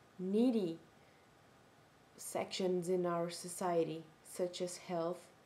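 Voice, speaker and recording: Speaking very slowly with a Portuguese accent, a woman has a dark, mellow tone and monotone, flat intonation. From Brazil. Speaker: video blogger. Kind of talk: casual vlog monologue. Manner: halting, self-correcting.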